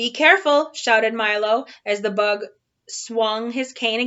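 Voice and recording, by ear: Someone is reading aloud in a natural voice. The pitch varies in an ordinary way, and the background is quiet.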